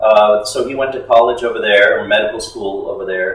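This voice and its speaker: Audible room echo surrounds a man who speaks at a moderate pace. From San Antonio, Texas (moved from Monterrey at age two). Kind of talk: casual interview.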